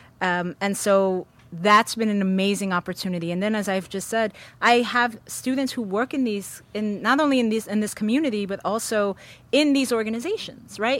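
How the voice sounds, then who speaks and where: Very cleanly recorded against a silent background, a woman uses an ordinary speaking voice at a moderate pace, fairly high in pitch with ordinary pitch variation. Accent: American. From New York City. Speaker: professor. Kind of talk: interview. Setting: studio with live audience.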